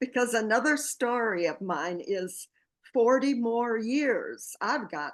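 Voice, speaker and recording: A woman speaks very slowly at a fairly high pitch. Her intonation is lively, and the background is quiet. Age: 80s+. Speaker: book project founder. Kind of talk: interview.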